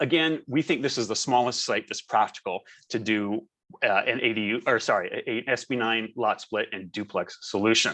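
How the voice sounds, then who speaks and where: In a normal speaking voice, a man talks at a moderate pace with lively intonation. The background is quiet. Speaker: architect. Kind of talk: webinar presentation. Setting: video call.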